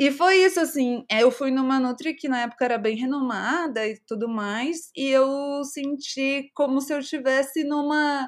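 A high-pitched female voice at a fairly slow pace with ordinary pitch variation, in a very clean recording over a silent background. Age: 30s. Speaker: content creator and startup founder. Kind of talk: casual chat.

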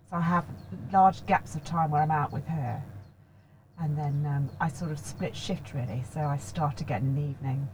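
A woman's very deep, low voice at a moderate pace, with ordinary pitch variation and noticeable background noise. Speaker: vocal coach and voice training founder. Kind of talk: casual interview chat. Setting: in person at guest's premises.

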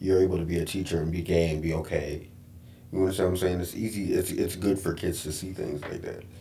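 With an American accent, a man talks very fast in a very deep, low voice that is dark and mellow, somewhat breathy, and flat and monotone in intonation. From New York. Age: 30s. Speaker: corporate trainer and actor. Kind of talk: casual chat.

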